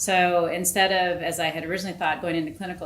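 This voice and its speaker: A woman speaks at a fairly low pitch. Room echo and background noise are both noticeable. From Alaska (rural, Bethel). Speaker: public health researcher. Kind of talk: panel discussion.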